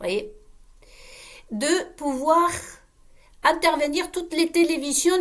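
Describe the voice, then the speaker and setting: Speech with a non-native accent. The pace is fairly slow. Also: woman. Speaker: online video creator. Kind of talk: casual monologue to viewers. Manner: halting, with many repetitions; animated, uses gestures.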